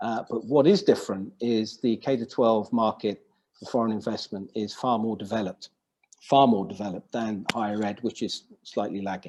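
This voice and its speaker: His loudness swings widely while this man keeps a medium pitch and fairly even intonation. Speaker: business consultant. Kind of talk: webinar presentation. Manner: fast.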